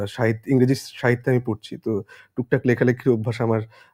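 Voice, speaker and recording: A man's dark, mellow voice stays monotone and flat, heard dry and close with no echo. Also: very clean recording, silent background. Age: 20s. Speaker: actor. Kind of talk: casual chat.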